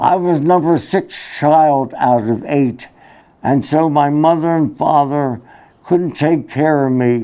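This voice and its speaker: The speaker has a Philadelphia accent. The pace is very slow. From Philadelphia, US. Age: 90s. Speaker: war veteran. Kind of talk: talk to students. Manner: halting.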